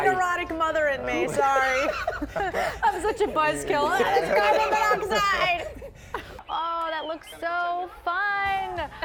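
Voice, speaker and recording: A woman speaks at an extremely high pitch with lively intonation. She goes very slowly over noticeable background noise. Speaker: TV news anchor and reporter. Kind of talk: casual on-set banter with co-anchors. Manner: playful, chatty.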